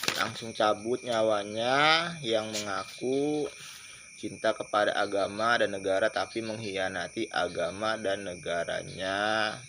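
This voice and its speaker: A man's medium-pitched voice at a very slow pace. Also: ordinary pitch variation. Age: 20s. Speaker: video blogger. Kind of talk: informal lecture monologue.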